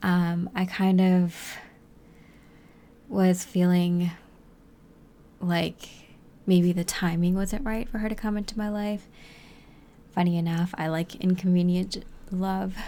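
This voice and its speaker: A soft-spoken woman with a dark, mellow tone and medium pitch talks at a very slow pace. Her intonation stays flat and monotone, with long, frequent pauses. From New England. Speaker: spiritual content creator. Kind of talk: reflective personal monologue.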